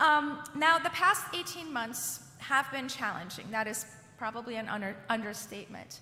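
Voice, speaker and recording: With noticeable background noise, the speaker talks at a moderate pace with lively intonation. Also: woman, high pitch for a woman. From Iran. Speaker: education advocacy leader. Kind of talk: keynote speech.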